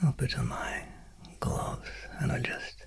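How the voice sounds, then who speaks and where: The whispering is very slow. Noticeable background noise can be heard beneath it. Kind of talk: ASMR. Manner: soft-spoken, whispered.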